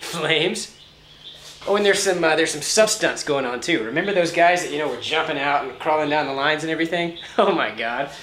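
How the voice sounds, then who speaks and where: A man talks at a very fast pace and a fairly high pitch. His pitch varies in an ordinary way over noticeable background noise. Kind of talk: comedic audition monologue to camera.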